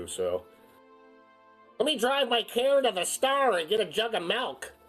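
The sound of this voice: A put-on character voice with a nasal sound and lively intonation, delivered at a moderate pace. Music plays in the background. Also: man, extremely high pitch for a man.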